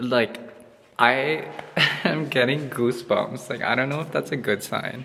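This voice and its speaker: Noticeable background noise runs under a man's voice. He speaks at a medium pitch with fairly even intonation. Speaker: travel vlogger. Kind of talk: casual vlog narration. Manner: chatty, filler-heavy.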